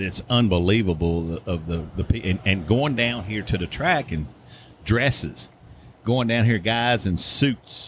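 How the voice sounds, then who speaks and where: Lively in intonation, a man with an American accent speaks at a fairly slow pace in a fairly low, somewhat breathy voice. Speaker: racing series director. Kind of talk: casual interview. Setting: front porch.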